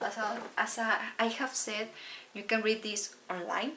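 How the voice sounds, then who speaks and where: Speaking at a fairly slow pace, a woman with a Spanish accent has a fairly high pitch. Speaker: book vlogger. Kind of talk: casual book haul talk. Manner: halting.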